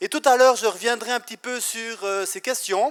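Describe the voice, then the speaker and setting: A man's extremely high-pitched voice in a Swiss accent, dry and close with no echo, at a moderate pace with ordinary pitch variation. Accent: Neuchâtel Swiss French. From Switzerland, Neuchâtel canton (Val de Travers). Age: 30s. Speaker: pastor. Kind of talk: testimony.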